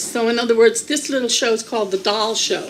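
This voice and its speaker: A woman speaks at a fairly quick pace with a high voice. Noticeable background noise sits behind her. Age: 60s. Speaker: video producer and channel owner. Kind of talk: presentation to a group. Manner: halting.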